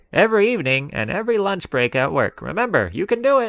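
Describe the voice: In a put-on character voice, the speaker delivers lines at a very fast pace with a raised, projected voice. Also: man, high pitch for a man.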